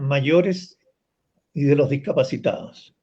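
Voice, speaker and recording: In a dark, mellow tone, a man speaks at a very slow pace with fairly even intonation. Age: 70s. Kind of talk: panel discussion.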